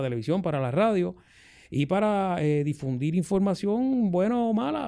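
Against a quiet background, a man with a fairly high pitch speaks at a moderate pace, his pitch swinging very widely. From Puerto Rico, Ponce; Puerto Rico. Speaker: radio host. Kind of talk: casual chat. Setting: studio. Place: studio. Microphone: studio mic.

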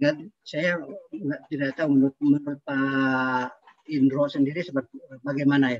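Here a man speaks at a moderate pace in a fairly high pitch. His intonation is monotone and flat, and the sound is dry with no echo. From Bandung, West Java, Indonesia; West Java, Indonesia. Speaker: aeronautics entrepreneur; audience member. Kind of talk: discussion remarks. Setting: video call. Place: home room. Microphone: video call.

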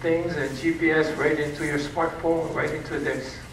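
Audible room echo surrounds a man speaking at a fairly slow pace. His intonation is fairly even, with light background noise. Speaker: presenter. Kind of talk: lecture. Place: hall.

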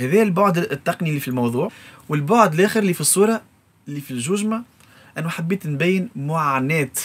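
At a very fast pace, a man talks with a high pitch and lively intonation. His loudness swings a lot. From Tunisia, Sfax; Tunisia. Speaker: music composer and arranger. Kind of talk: interview. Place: studio.

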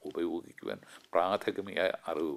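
A man speaks over a quiet background. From Kerala, India. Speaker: physician and TV health presenter; TV presenter. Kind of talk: scripted TV talk. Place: studio.

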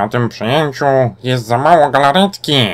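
A man performs a put-on character voice, pitched in the middle range and delivered at an even, moderate speed. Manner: shouting, manic.

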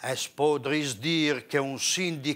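Speaking with a Parma accent, a man has a fairly high pitch and a bright, sharp tone. His intonation is fairly even and his pace very slow. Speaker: poetry reciter. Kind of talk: dialect poetry reading. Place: studio. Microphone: lapel.

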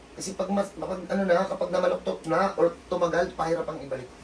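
Noticeable background noise sits behind this recording. A man with a high pitch speaks at a fairly quick pace. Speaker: traditional massage healer (hilot). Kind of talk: casual narration during treatment session.

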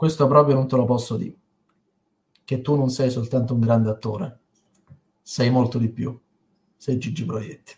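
Fairly even intonation, a somewhat breathy sound and long, frequent pauses. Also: man, medium pitch for a man, moderate pace. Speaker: poet. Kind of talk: poetry reading. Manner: emotional, heartfelt. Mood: tender, mournful tribute. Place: home room. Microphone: webcam.

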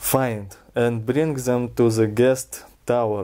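Against a quiet background, a man with a Russian accent talks very slowly in a monotone, flat intonation, his tone dark and mellow and his pitch medium. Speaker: reader of a fairy tale. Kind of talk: storybook reading. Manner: relaxed. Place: home room. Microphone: camera far.

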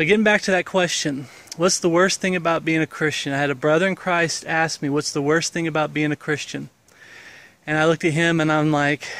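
Here a man speaks at a fairly quick pace. The sound is dry, with no echo. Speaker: religious vlogger. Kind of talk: casual vlog chat. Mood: earnest, reflective. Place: garden. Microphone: phone near.

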